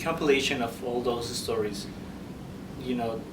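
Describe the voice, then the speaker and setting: The recording carries noticeable background noise and audible room echo. A man speaks at medium pitch. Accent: Spanish. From Peru. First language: Spanish. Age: 30s. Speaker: author. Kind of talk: interview. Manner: halting, many fillers.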